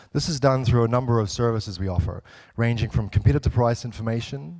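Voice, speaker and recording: With a New Zealand accent, a man talks at a very fast pace. His pitch varies in an ordinary way. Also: very clean recording, silent background. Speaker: software developer, conference speaker. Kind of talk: conference talk. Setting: stage with audience. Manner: hesitant, many fillers.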